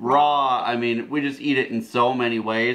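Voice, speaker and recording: A man with an American accent, a bright, sharp tone, fairly even intonation and a fairly slow pace. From Wisconsin. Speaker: homesteading video co-host. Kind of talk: casual gardening talk to camera. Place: home room. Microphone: camera far.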